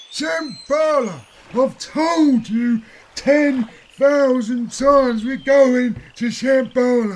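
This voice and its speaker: Putting on a cartoonish character voice, a man speaks very slowly at an extremely high pitch. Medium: puppet. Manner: exasperated.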